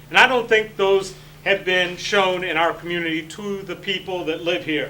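Over noticeable background noise, a man uses a raised, projected voice at a high pitch, keeping a moderate pace and fairly even intonation. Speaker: city commission candidate, army veteran. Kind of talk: candidate forum speech. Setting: public forum with audience. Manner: loud, projecting command voice; forceful, emphatic.

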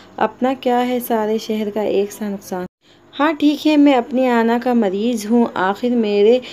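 A woman speaks in a dark, mellow tone. Her pitch sits fairly high. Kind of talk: poetry reading.

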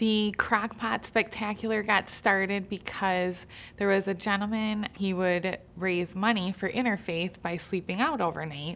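Speaking at a fairly slow pace, a woman keeps her intonation fairly even. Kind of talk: interview answer. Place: studio.

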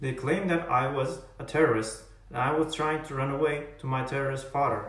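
A man talks at a fairly quick pace with a fairly high pitch. Audible room echo surrounds his voice. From Turkey. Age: 20s. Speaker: college student. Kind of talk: personal testimony to camera. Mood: earnest, serious. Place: home room. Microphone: earbuds.

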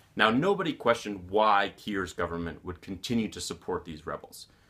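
At a fairly quick pace, a man speaks with a fairly low pitch. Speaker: journalist. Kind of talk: explanatory monologue to camera. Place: office.

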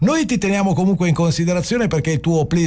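A man speaks high in pitch, his voice varying in an ordinary way. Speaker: radio host. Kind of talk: radio interview. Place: studio.

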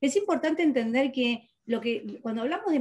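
A woman speaks in a high pitch with lively intonation. The background is quiet. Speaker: metaphysics teacher and therapist; metaphysics teacher. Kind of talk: interview. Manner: fast. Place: home room. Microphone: webcam.

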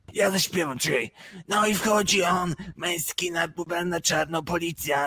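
The speaker is a man with a high voice. He talks at an even, moderate speed.

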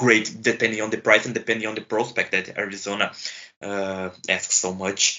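A man speaks with a Portuguese accent and a fairly low pitch. His intonation is monotone and flat. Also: moderate pace. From Brazil. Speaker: hockey podcast co-host. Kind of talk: casual sports chat. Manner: halting.

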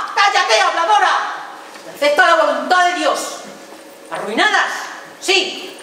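Over light background noise and audible room echo, a woman speaks in a raised, projected voice at a fairly slow pace. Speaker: stage actress playing an aunt. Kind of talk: theatrical monologue. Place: stage.

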